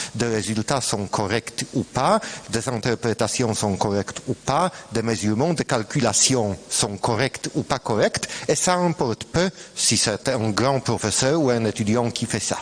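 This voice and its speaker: A man with a non-native accent speaks at a fairly slow pace, his medium pitch showing ordinary pitch variation and very even loudness. Noticeable background noise runs underneath. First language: Polish (speaking French). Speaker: scientist, former student. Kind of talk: colloquium talk. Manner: halting, hesitant.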